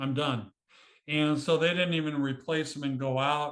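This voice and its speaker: A man with an unremarkable speaking voice, a fairly high pitch and a moderate pace. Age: 60s. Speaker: author and cemetery photographer. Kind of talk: interview.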